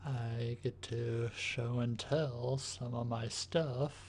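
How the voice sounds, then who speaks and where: Soft-spoken and somewhat breathy, a man talks at a very slow pace in a medium pitch. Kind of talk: ASMR show-and-tell, tapping.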